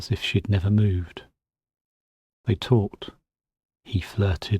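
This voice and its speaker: At a fairly slow pace, a man speaks in a fairly low, dark, mellow voice that is somewhat breathy, with a dry, close sound and no echo. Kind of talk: spoken-word folk horror storytelling, bedtime story. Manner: measured, storytelling narration.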